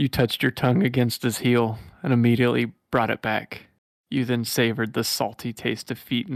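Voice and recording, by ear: The background stays quiet while the speaker is reading aloud in a natural voice.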